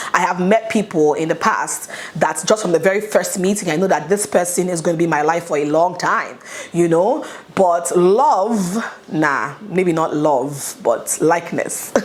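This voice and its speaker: Noticeable background noise underlies a woman's fairly low voice. She speaks at a fairly slow pace with ordinary pitch variation. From Nigeria. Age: 30s. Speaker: YouTuber. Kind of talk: casual talk to camera. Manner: chatty, upbeat.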